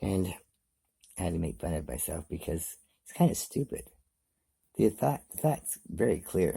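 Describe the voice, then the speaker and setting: In a dark, mellow tone, a man with a very deep, low pitch and vocal fry swings widely in pitch and loudness, leaving long, frequent pauses. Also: moderate pace. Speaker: vlogger. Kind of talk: motivational monologue.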